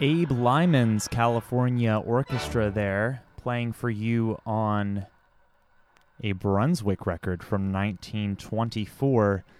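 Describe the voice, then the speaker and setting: Speaking very slowly, a man keeps a medium pitch with ordinary variation. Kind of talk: radio DJ patter introducing vintage 78 rpm records on a community station. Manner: relaxed, chatty and warm, nerdy enthusiast, lightly informal with casual asides; conversational, occasionally stumbling over names and self-correcting.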